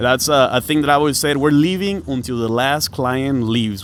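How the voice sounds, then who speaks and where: A man with a slight Mexican accent, fairly high pitch, ordinary pitch variation and a fairly quick pace. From northern Mexico, Piedras Negras. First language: Spanish. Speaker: food truck owner and DJ. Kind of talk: casual podcast chat.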